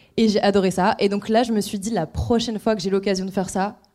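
Talking at a very fast pace, a woman has a medium-pitched, dark, mellow tone and fairly even intonation. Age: 20s. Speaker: lawyer. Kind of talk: casual chat. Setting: stage with audience.

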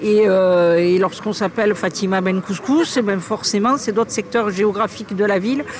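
The loudness stays very even, with noticeable background noise. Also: woman. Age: 50s. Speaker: local politician. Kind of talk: recorded interview.

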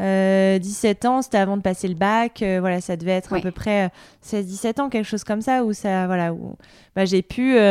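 A woman at medium pitch, moderate pace and fairly even intonation, in a very clean recording against a silent background. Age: 30s. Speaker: journalist and podcaster. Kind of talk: interview. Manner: hesitant, many fillers.

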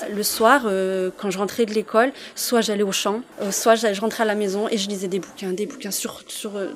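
Noticeable background noise sits behind a woman of medium pitch who talks at a moderate pace with fairly even intonation. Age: 30s. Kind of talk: interview testimony.

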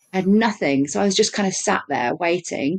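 Against a quiet background, a woman with a fairly low pitch talks at a moderate pace in an unremarkable speaking voice. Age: 30s. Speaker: podcast co-host sharing her birth story. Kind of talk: casual interview chat.

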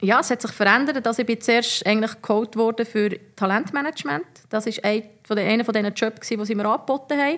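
Against a quiet background, a woman talks at a fairly quick pace in a normal speaking voice, with a fairly high pitch, ordinary pitch variation and very even loudness. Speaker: former professional footballer. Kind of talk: casual interview.

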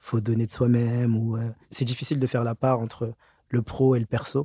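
Recorded very cleanly against a silent background, with a dry, close sound and no echo, a man speaks fairly quickly at medium pitch in a dark, mellow tone and monotone, flat intonation. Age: young. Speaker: auditor. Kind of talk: interview.

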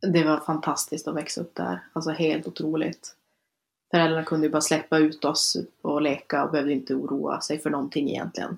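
On a very clean recording with a silent background, a woman with a very deep, low pitch and vocal fry talks at a fairly quick pace with fairly even intonation. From northern Sweden, Luleå area. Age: 20s. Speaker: student and speaker on being a relative of someone with bipolar disorder. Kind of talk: casual interview chat.

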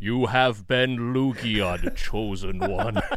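A booming put-on character voice moves along at a very slow pace. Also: man, medium pitch for a man.

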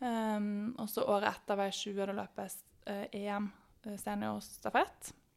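A woman at medium pitch, speaking at a very slow pace in a monotone, flat intonation. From Norway, Bergen. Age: 20s. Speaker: sprinter. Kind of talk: podcast interview.

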